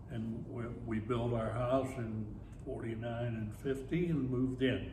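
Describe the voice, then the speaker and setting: Amid noticeable background noise and audible room echo, a man talks with a Pittsburgh accent. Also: medium pitch for a man, fairly even intonation. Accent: western Pennsylvania (Pittsburgh). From Pittsburgh, western Pennsylvania. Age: 90s. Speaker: retired teacher and army veteran. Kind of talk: oral history interview.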